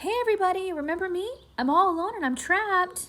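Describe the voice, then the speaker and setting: Putting on a whiny character voice, a woman speaks very fast at an extremely high pitch. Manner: whiny, pleading.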